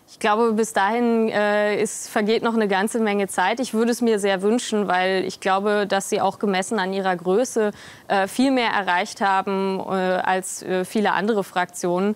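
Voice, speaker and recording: A woman talks at a moderate pace with hardly any pauses, her medium-pitched voice flat and monotone. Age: 20s. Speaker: politician. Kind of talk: interview. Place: studio. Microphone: lapel.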